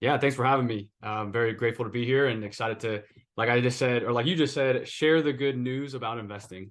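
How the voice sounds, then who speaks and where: A man talks at a very fast pace with a medium pitch. His intonation stays fairly even over a quiet background. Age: 20s. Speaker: investing content creator. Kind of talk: interview podcast.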